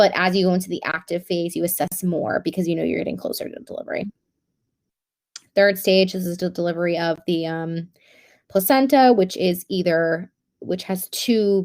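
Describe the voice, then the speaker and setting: Speaking at medium pitch, a woman keeps her intonation fairly even. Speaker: nursing student tutor. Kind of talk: online review session. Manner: fast.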